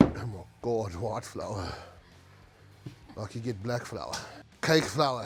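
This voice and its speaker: A man with a medium pitch talks as noticeable background noise carries on behind him. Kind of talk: casual cooking talk to camera. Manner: casual, profane.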